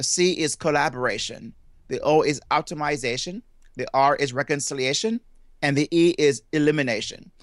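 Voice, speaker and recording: Over a quiet background, a man with a Jamaican accent speaks with ordinary pitch variation, the sound dry and close with no echo. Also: fairly high pitch for a man, moderate pace. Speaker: motivational speaker and family therapist. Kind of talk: interview. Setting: remote call.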